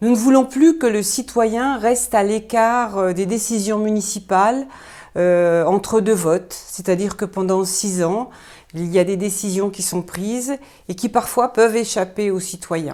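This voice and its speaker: Her voice is dark and mellow, set at medium pitch with ordinary variation. The woman keeps to a fairly slow pace. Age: 60s. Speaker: local election candidate, retired school inspector. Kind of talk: campaign presentation. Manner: hesitant, many fillers.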